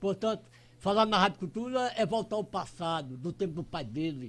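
Lively intonation from a man at a high pitch and a moderate pace. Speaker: radio commentator. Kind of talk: radio interview. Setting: radio studio.

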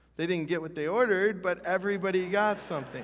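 Against a quiet background, a man speaks with a high pitch and ordinary pitch variation. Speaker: pastor. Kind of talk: sermon. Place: church.

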